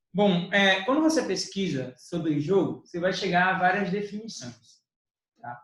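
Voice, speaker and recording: At a moderate pace, a man talks in a high pitch. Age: young. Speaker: teacher. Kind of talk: educational podcast discussion.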